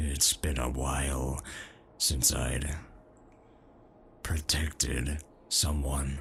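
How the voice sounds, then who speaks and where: A man's put-on character voice, very deep, low, gruff and soft-spoken, at a very slow pace in a monotone, flat intonation, with clear background noise. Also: long, frequent pauses. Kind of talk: ASMR comfort roleplay. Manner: toned-down gruff, soft and comforting.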